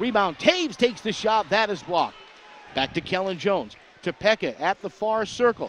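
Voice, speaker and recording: Over noticeable background noise, a man with a high pitch speaks at a moderate pace and with lively intonation. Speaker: radio play-by-play announcer. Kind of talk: live sports commentary. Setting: arena broadcast booth.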